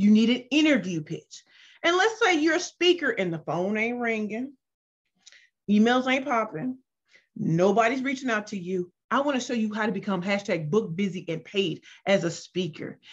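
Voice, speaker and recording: A woman with an American accent speaks at a moderate pace in an animated, somewhat breathy, fairly high voice whose pitch swings very widely. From US Midwest, St. Louis, Missouri. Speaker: business pitch coach. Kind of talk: self-introduction pitch / workshop talk. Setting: video call.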